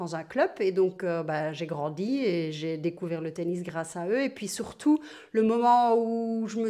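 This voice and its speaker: A woman's dark, mellow voice at medium pitch, with ordinary pitch variation, over a quiet background. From Belgium, Verviers. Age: 50s. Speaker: retired tennis player. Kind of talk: interview. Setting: at home.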